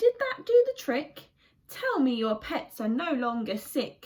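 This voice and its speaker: Putting on a character voice, a woman talks high and fairly slowly, her pitch making very wide swings. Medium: read story. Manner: hearty, confident.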